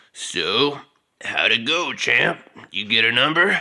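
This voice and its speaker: A man uses a gravelly put-on character voice at a fairly high pitch. He talks at a fairly slow pace. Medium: solo performance. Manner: playful, teasing.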